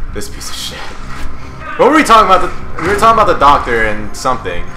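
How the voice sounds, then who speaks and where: A man speaks at a very fast pace with big swings in loudness, music in the background and audible room echo. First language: not English. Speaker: gaming video host. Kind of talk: casual chat during game playthrough. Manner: animated.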